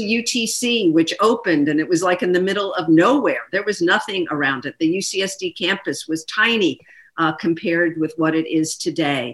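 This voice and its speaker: A woman with an American accent speaks in a normal speaking voice at a moderate pace, barely pausing. Her pitch sits fairly low, and her intonation is lively. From Philadelphia. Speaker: politician. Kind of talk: interview. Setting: video call.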